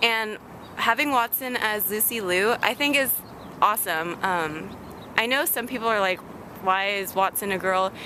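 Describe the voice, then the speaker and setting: Long, frequent pauses break up speech delivered at a moderate pace, with ordinary pitch variation and noticeable background noise. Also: woman, fairly high pitch for a woman. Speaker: vlogger. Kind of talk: casual chat. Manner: halting.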